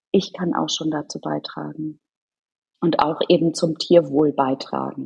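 Fairly slow speech from a woman, dry, close sound with no echo. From Norderney, northern Germany. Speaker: charity co-founder. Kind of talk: interview.

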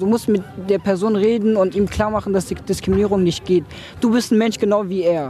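At a fairly quick pace, a man speaks in a high pitch with fairly even intonation. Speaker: young refugee interviewee. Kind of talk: interview. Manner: colloquial.

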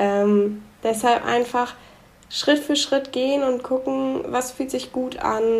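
In an ordinary speaking voice, a woman talks at a fairly slow pace with ordinary pitch variation. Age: 20s. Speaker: young entrepreneur. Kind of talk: podcast interview.

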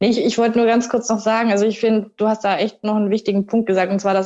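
Against a quiet background, a woman at medium pitch speaks very fast in a monotone, flat intonation. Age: 30s. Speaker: triathlete. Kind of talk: casual chat.

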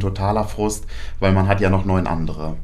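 The speech moves at a moderate pace with fairly even intonation, and audible room echo surrounds it. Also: man. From Germany, near Paderborn. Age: 20s. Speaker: decathlete. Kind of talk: interview.

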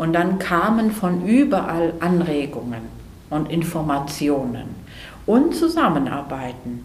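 A woman speaks very slowly at a fairly low pitch, with lively intonation. Her voice carries audible room echo amid noticeable background noise. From Greece (Athens). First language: Greek (speaking German). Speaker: ceramic artist. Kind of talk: interview. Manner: halting, many fillers.

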